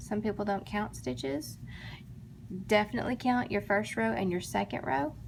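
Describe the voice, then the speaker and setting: Vocal fry marks this speech in an American accent, delivered at a moderate pace with very wide pitch swings. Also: woman, fairly low pitch for a woman. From Texas, Dallas. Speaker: crochet tutorial maker. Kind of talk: tutorial. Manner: casual, chatty.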